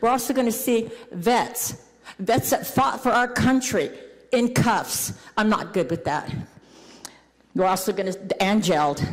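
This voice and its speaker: Audible room echo and noticeable background noise around a woman's moderate-paced speech. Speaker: homeless advocate. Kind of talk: public comment at council meeting. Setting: city council meeting.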